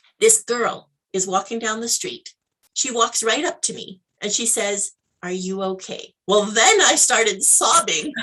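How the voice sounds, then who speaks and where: In a western Canadian accent, a woman speaks at a fairly slow pace with lively intonation. Her tone is bright and sharp, and her pitch fairly high. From Canada, Alberta. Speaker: life mentor, entrepreneur. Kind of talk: interview, personal story. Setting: live video interview.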